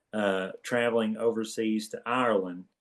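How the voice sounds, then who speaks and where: A man's medium-pitched voice with an Eastern Kentucky accent. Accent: Eastern Kentucky twang. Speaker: podcast co-host, former college basketball player. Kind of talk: casual chat.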